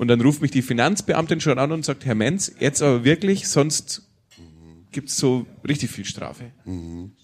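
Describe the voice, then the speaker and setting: A man with a slight Franconian accent, fairly high pitch, vocal fry and lively intonation at a fairly slow pace. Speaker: podcast host, music scene advisor. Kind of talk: live interview with audience. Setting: stage with audience.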